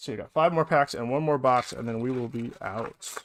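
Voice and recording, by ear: This man talks at a fairly quick pace, his medium pitch moving with ordinary variation.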